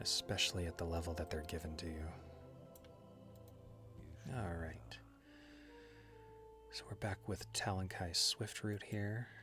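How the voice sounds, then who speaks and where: This man has a very deep, low voice, soft-spoken and soothing, with lively intonation. He talks at a fairly slow pace with long, frequent pauses while music plays in the background. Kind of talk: ASMR soft-spoken gameplay commentary. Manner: soft-spoken, soothing.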